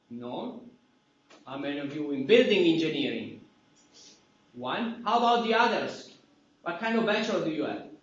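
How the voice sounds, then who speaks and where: With long, frequent pauses, a man talks at a moderate pace in a high pitch with very wide pitch swings, amid audible room echo. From Italy. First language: Italian. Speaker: university professor. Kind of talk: lecture. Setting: classroom. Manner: loud.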